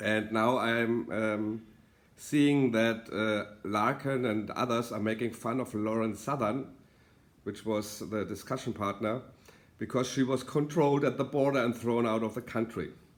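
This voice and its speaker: Speaking with a German accent, a man keeps a medium pitch, fairly even intonation and a fairly slow pace. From Germany. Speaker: political author and commentator. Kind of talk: video monologue. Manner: halting, many fillers.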